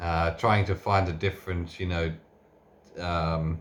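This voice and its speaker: A soft-spoken man's very deep, low voice, somewhat breathy and monotone, flat in intonation. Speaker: tool reviewer. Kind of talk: unscripted tool review and teardown. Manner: soft-spoken, talking quietly; halting, many fillers and restarts.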